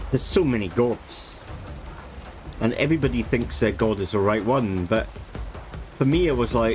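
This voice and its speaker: With a Scottish accent, a man speaks at a moderate pace and medium pitch, his intonation lively and his loudness very even, leaving long, frequent pauses while music plays in the background. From Scotland. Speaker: vtuber game streamer. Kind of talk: casual live-stream chat.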